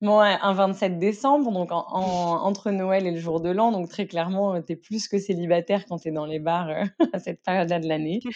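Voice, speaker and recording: A woman talks at a moderate pace with hardly any pauses, her medium pitch showing ordinary variation. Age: 20s. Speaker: stepmother. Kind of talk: casual chat. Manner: animated.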